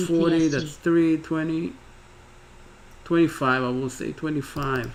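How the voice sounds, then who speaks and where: The speaker has a non-native accent. The intonation is fairly even. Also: man. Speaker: day trader streamer. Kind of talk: live trading commentary. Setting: live stream. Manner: halting, with repetitions.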